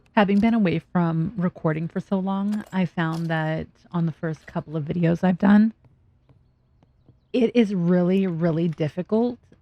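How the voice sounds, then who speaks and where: Mumbling at a fairly slow pace, a woman with a fairly low pitch speaks in a dark, mellow tone with fairly even intonation, captured with a dry, close sound with no echo. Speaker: gaming video creator. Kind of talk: let's play commentary. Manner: casual, talking to herself.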